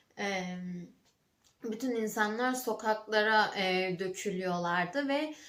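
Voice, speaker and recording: There is audible room echo around a woman with a fairly high pitch. She speaks at a very slow pace with ordinary pitch variation. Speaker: vlogger. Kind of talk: casual vlog talk. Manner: halting, many fillers.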